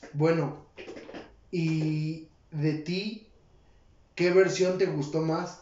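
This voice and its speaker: A man's fairly high voice in a Mexican accent, with noticeable background noise and audible room echo. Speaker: podcast co-host. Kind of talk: casual chat.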